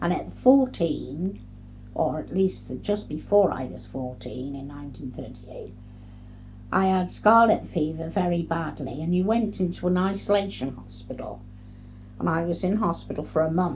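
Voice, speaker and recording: A woman talks at a moderate pace with a fairly low pitch and vocal fry. Her intonation is lively. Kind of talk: oral history interview answer. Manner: hesitant, reflective.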